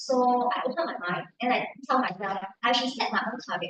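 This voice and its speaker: This woman has a high pitch. She talks in a Cantonese accent. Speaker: club member, salesperson. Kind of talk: testimony. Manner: halting, frequent fillers and repetitions.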